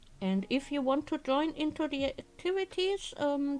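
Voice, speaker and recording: With a German accent, a woman speaks at a high pitch and a fairly slow pace with lively intonation. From Germany. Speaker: crafting streamer. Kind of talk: casual live-stream chat. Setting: live stream with webcam.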